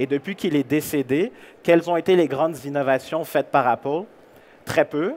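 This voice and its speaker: A man with a Canadian French accent at a moderate pace, fairly high in pitch with ordinary pitch variation, big swings in loudness, and a dry, close sound with no echo. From Canada. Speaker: keynote speaker, employer branding consultant. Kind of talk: conference keynote. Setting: stage with audience.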